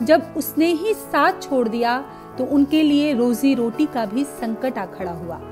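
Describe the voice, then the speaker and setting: A woman talks at a high pitch with lively intonation. Music plays in the background. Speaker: narrator. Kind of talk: documentary narration.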